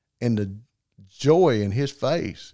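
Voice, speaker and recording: On a very clean recording with a silent background, a man speaks at a fairly low pitch in a dark, mellow tone. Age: 50s. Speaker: crop duster pilot and fast draw champion. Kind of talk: casual interview.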